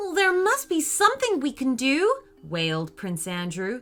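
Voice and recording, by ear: A passage is read aloud in a natural voice.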